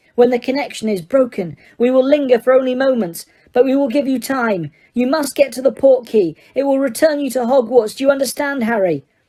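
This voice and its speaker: Quiet and high-pitched, a woman uses a put-on character voice at a fairly quick pace. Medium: read story. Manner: quiet, steady.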